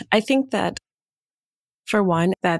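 A woman with an American accent talks at a fairly slow pace, in a dry, close sound with no echo. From Wisconsin. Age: 50s. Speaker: production team member. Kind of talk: casual roundtable discussion.

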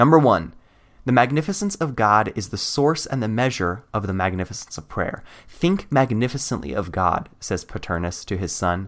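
With lively intonation, a man talks at a moderate pace and a medium pitch. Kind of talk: sermon. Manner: impassioned, rhetorical, forceful, building with repeated defiant phrases; formal, elevated, pulpit delivery.

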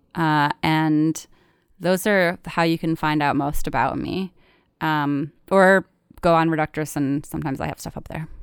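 In a very clean recording with a silent background, a woman speaks fairly slowly with a very deep, low pitch and fairly even intonation, the sound dry and close with no echo. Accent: American. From Michigan. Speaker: writer and comedian. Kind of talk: casual interview storytelling.

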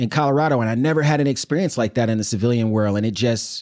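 A man with a New York accent speaks with fairly even intonation on a very clean recording with a silent background. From Brooklyn, New York City. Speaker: army veteran and sociology professor. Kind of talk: interview. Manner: casual.

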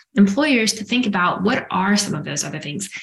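A woman speaks in a normal speaking voice. Her medium pitch carries lively intonation. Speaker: executive coach. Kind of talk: interview.

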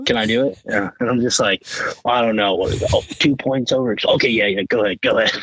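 A man with an American accent at a fairly quick pace, very even in loudness, against noticeable background noise. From Colorado. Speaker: hunting photographer and videographer. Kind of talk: casual chat.

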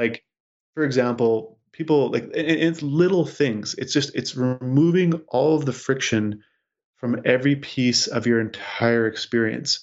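Using a normal speaking voice with a Canadian accent, a man talks at a fairly slow pace with a medium pitch and ordinary pitch variation. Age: 30s. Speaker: tech entrepreneur. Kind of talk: interview.

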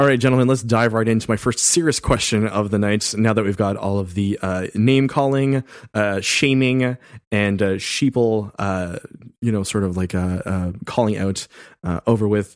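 Ordinary pitch variation marks a normal speaking voice that proceeds at a moderate pace. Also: man, fairly low pitch for a man. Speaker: podcaster. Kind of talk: casual chat.

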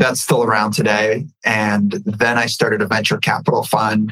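A man speaks with an American accent at a moderate pace. His pitch is medium, and his speaking voice is an unremarkable speaking voice. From California, raised there after leaving Ukraine as a baby. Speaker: entrepreneur. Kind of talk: casual interview.

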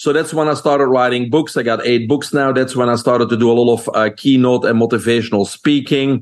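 In a Belgian accent, a man speaks fairly quickly with hardly any pauses, his medium-pitched voice very even in loudness and fairly even in intonation. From Belgium. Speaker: holistic nutrition expert. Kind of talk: interview.

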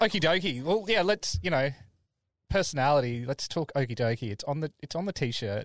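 This man, with an Australian accent, talks at a fairly quick pace with a fairly high pitch that swings very widely. The sound is dry and close with no echo, over a quiet background. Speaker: podcast host. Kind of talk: casual interview.

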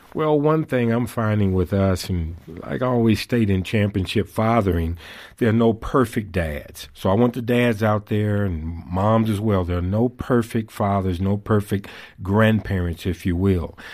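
An ordinary speaking voice: a man talks at a moderate pace in a fairly low pitch with ordinary pitch variation. The recording is very clean, with a silent background. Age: 60s. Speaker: author and fatherhood speaker. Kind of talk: interview.

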